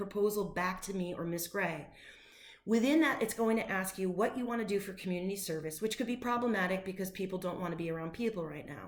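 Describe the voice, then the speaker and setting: A woman's animated voice at medium pitch, ordinary pitch variation and fairly quick pace, with audible room echo and noticeable background noise. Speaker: high school teacher. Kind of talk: recorded class announcement. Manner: fast.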